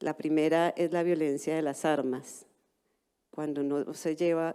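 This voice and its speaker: The tone is dark and mellow, with fairly even intonation at a fairly slow pace. The recording is very clean, with a silent background. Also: woman. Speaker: anthropologist, cultural heritage expert. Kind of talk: panel presentation. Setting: conference stage with interpretation.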